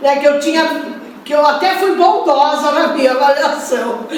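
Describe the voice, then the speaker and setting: A loud woman's voice, high in pitch, with ordinary pitch variation, audible room echo and noticeable background noise. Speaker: spiritist lecturer. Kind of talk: lecture.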